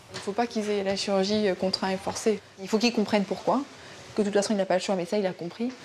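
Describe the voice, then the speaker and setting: Over noticeable background noise, a woman talks at a very fast pace with medium pitch and monotone, flat intonation. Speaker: surgeon. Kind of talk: casual chat.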